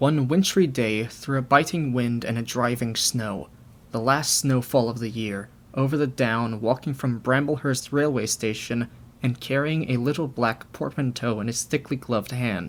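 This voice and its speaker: Here is a man with an unremarkable speaking voice, medium in pitch, with ordinary pitch variation at a moderate pace. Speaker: audiobook narrator. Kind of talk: audiobook narration.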